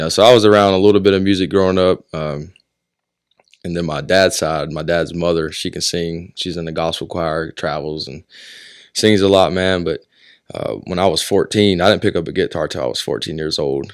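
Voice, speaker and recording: In a very clean recording with a silent background, a man with an American accent and a very deep, low pitch talks at a fairly quick pace with fairly even intonation. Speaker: singer-songwriter and military veteran. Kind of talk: casual interview chat.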